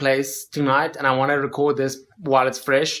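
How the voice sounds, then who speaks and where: The pace of this man's speech is fairly quick. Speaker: touring drummer and video blogger. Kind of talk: vlog, personal reflection. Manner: soft-spoken.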